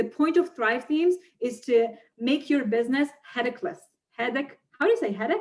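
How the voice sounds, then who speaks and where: A woman's high voice with lively intonation against a quiet background. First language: not English. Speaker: online marketer and funnel builder; interview guest. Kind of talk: interview. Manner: animated. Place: home room. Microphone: webcam.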